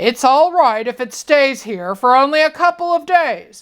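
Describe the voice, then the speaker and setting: Putting on a character voice, a woman speaks at a high pitch with lively intonation. Her pace is moderate. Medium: read story. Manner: grumbling, slightly stern.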